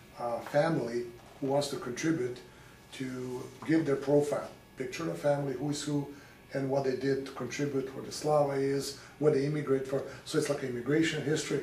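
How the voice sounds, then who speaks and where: A man's fairly high voice, fairly quick and fairly even in intonation, with noticeable background noise and audible room echo. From Serbia, Belgrade. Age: 60s. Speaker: local author. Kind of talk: interview.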